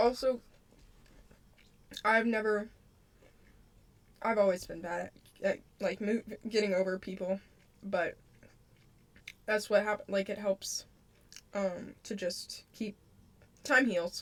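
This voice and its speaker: A woman uses a put-on, raspy character voice in a medium pitch with fairly even intonation. She talks at a fairly slow pace with long, frequent pauses. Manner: stuttering, stumbling over words.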